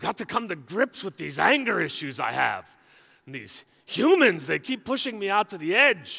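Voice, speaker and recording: A man puts on a character voice in an Irish accent, pitched high. He keeps a moderate pace. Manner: troubled, confessing anger issues.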